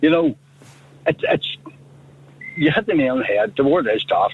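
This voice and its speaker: Over noticeable background noise, a man talks with a Northern Irish accent. His pace is fairly slow. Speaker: radio phone-in caller. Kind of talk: phone-in call. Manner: animated.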